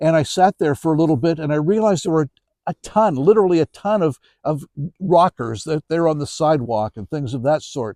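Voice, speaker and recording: This man's voice sits at a fairly high pitch with a dark, mellow tone. He talks fairly quickly, and the sound is dry and close with no echo. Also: lively intonation. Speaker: author and storyteller. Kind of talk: interview answer. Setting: outdoors. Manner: conversational, anecdotal.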